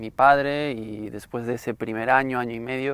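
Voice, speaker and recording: A man speaks fairly slowly at a medium pitch with fairly even intonation. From Spain, Galicia (Santiago de Compostela). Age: 30s. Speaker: interviewee giving faith testimony. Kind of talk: testimony. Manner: halting, many fillers.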